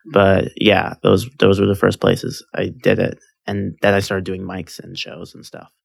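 With vocal fry and big swings in loudness, a man talks at a moderate pace and fairly low pitch, with ordinary pitch variation. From California. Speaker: stand-up comedian. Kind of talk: casual chat.

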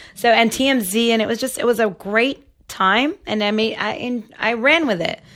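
At a fairly slow pace, a woman with an unremarkable speaking voice talks in a fairly high pitch with ordinary pitch variation. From Toronto, Canada. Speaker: webcam model. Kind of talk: casual chat.

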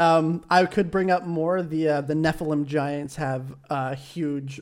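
At a fairly slow pace, a man speaks in a normal speaking voice with fairly even intonation, captured in a very clean recording with a silent background. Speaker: gaming YouTuber podcast co-host. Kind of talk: casual chat.

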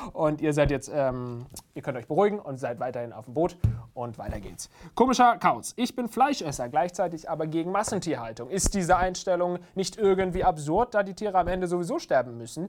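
A man with a high pitch and an animated tone talks at a fairly quick pace. His voice shows very wide pitch swings and big swings in loudness. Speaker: YouTube show host. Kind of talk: casual Q&A show.

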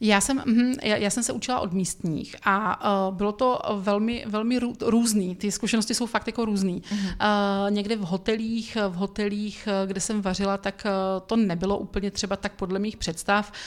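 At a moderate pace and medium pitch, a woman speaks with fairly even intonation on a very clean recording with a silent background. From Czech Republic, Brno. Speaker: food blogger and cooking teacher. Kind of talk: casual interview. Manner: hesitant, many fillers.

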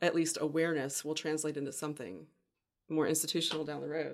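The talking moves along fairly quickly. It comes in a Southern US accent. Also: woman. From US South, Pensacola, Florida. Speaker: publisher and LGBTQ advocate. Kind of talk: podcast interview.

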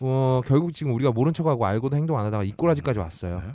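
Against a quiet background, a man talks at a very fast pace in a dark, mellow tone. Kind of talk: comedic casual chat. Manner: animated.

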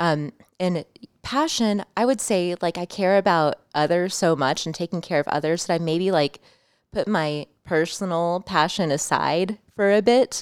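A woman with an American accent and a normal speaking voice talks at a moderate pace in a fairly low pitch with ordinary pitch variation, in a very clean recording with a silent background and a dry, close sound with no echo. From Champaign, Illinois, US Midwest. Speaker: photographer and publicist. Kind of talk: casual chat. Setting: studio.

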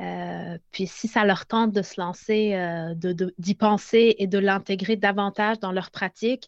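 Flat, monotone intonation from a woman at a medium pitch. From Lebanon. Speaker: pedagogical consultant. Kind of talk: casual interview. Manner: halting.

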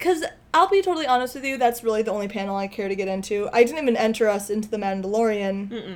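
Here is a woman with a plain, everyday voice. Her pitch sits fairly high and varies in an ordinary way. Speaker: podcast co-host. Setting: home podcast recording.

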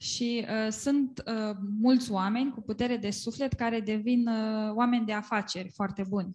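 A woman with a Romanian accent speaks in a somewhat breathy, fairly high voice against a quiet background. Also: fairly even intonation, moderate pace, hardly any pauses. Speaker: interpreter. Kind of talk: live interpretation of a sermon. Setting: church gathering.

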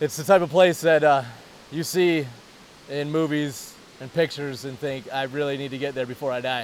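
A man speaks at a moderate pace with an American accent and a fairly high pitch. It is an unremarkable speaking voice. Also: fairly even intonation, big swings in loudness. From Detroit, Michigan. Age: 30s. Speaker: software project manager. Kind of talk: casual chat. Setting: outdoors by a waterfall.

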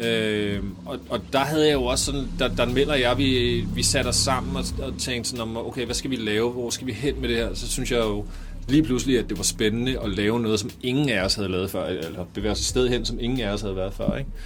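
Over noticeable background noise and audible room echo, a man speaks at a fairly quick pace with ordinary pitch variation. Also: medium pitch for a man. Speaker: rapper. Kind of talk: interview.

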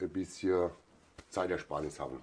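The man's tone comes across as dark and mellow. He talks fairly slowly. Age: 40s. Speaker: farrier and master metalworker. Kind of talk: interview.

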